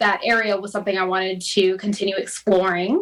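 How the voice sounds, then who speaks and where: A woman with an American accent speaks at a moderate pace and medium pitch. She has an ordinary speaking voice. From Florida. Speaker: mortgage lender. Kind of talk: interview.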